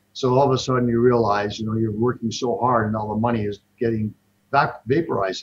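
A man's somewhat breathy voice at a fairly quick pace with fairly even intonation. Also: medium pitch for a man. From Toronto, Canada. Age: 60s. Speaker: investment fund manager. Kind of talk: casual interview.

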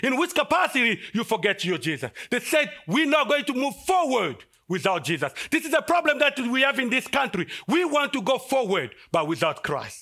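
A man speaks in a raised, projected voice at an extremely high pitch with very wide pitch swings. His tone is bright and sharp, and his pace is moderate. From Congo (DR Congo, large capital city). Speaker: guest preacher. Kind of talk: sermon. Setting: church service.

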